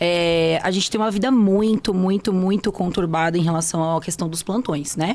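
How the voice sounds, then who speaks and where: Speaking at a moderate pace, a woman has a plain, everyday voice at a medium pitch. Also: ordinary pitch variation. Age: 30s. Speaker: nurse. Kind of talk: interview.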